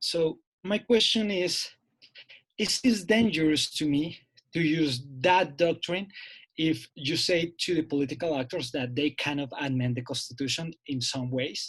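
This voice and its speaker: The speech comes at a fairly slow pace with ordinary pitch variation. It is delivered in a Spanish accent. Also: man, fairly high pitch for a man. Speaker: seminar participant. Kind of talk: academic Q&A question. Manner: halting.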